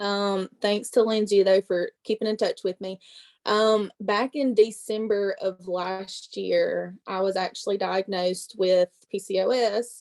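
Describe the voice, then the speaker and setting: With a strong Southern accent, a woman at a medium pitch talks fairly slowly in a flat, monotone way. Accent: thick Southern. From US South, Mississippi. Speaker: network marketing presenter. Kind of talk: testimony.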